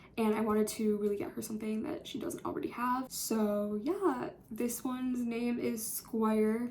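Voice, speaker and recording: Quiet and fairly high-pitched, a woman speaks with ordinary pitch variation and hardly any pauses, with audible room echo and noticeable background noise. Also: moderate pace. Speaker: college student vlogger. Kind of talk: casual vlog. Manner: chatty, filler-heavy.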